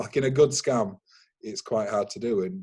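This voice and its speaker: A dark, mellow, somewhat breathy voice with a Yorkshire accent, very wide pitch swings and a moderate pace. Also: man. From Yorkshire, northern England. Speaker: cyber security consultant. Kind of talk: webinar interview.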